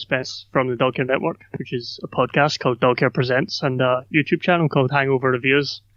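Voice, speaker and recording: A man talks in a Scottish accent. He barely pauses at all. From Scotland, Glasgow. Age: 20s. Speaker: podcaster and YouTuber. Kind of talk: casual interview conversation.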